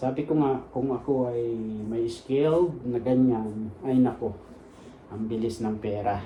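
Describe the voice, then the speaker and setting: A man speaks very slowly at medium pitch, with fairly even intonation. Room echo can be heard. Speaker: vlogger, Filipino immigrant worker. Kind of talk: casual vlog talk.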